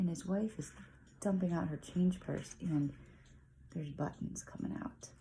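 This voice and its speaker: A woman whispering at a moderate pace, with long, frequent pauses. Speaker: parent reading picture books aloud. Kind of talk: reading aloud with commentary.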